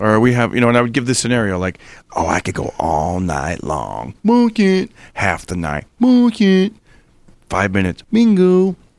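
Talking at a moderate pace, a man is heard on a very clean recording with a silent background. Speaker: comedian. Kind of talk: casual chat.

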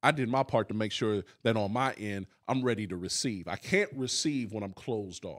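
In a normal speaking voice, a man talks at a moderate pace and medium pitch with hardly any pauses. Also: ordinary pitch variation. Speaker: pastor and podcast host. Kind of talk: sermon-style Bible teaching and discussion. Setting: live in-person audience and online stream.

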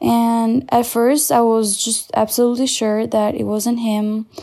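A woman's fairly high voice, dark and mellow in tone, at a fairly slow pace. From Albania. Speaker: churchgoer sharing testimony. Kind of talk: recorded testimony.

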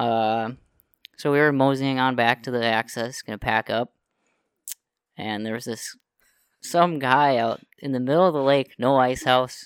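A man with an Upper Midwest accent at a medium pitch and fairly slow pace, fairly even intonation, long, frequent pauses, and a dry, close sound with no echo. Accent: Upper Midwest American. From northern Minnesota. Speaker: guest, outdoorsman. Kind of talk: casual chat.

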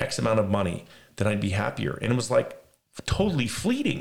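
A man with an American accent speaks at a very fast pace. His voice is somewhat breathy. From Las Vegas, US West. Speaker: podcast host. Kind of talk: casual religious discussion.

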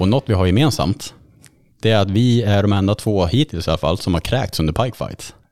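Lively intonation marks this man's normal speaking voice, pitched fairly low. The loudness stays very even on a very clean recording with a silent background. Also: fairly quick pace. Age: 30s. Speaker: podcast host. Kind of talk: casual chat.

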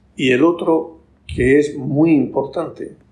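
A man's voice comes across fairly high in pitch and somewhat breathy. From Spain, Murcia region. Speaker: bank executive and author. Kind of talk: casual interview.

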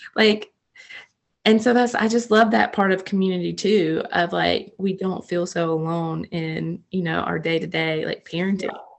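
Heard with an American accent, a normal speaking voice moves at a moderate pace with ordinary pitch variation. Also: woman, medium pitch for a woman. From North Carolina, small town. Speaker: ministry coordinator and army wife. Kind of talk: casual faith chat.

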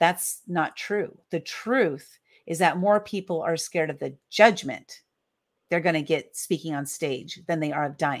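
A woman with an American accent speaks at a fairly slow pace. Her pitch sits fairly low and varies in an ordinary way. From US West Coast (San Diego, California). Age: 50s. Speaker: author and publisher. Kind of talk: podcast interview. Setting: video call.

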